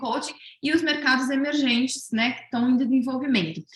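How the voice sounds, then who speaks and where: A woman talking at a fairly quick pace. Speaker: research presenter at coaching event. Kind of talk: presentation of survey results. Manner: fast; hesitant, many fillers.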